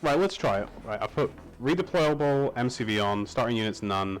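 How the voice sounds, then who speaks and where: A man with a British accent talks at a moderate pace and medium pitch, his voice making very wide pitch swings. Music plays in the background. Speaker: gamer streamer. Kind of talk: casual chat. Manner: animated.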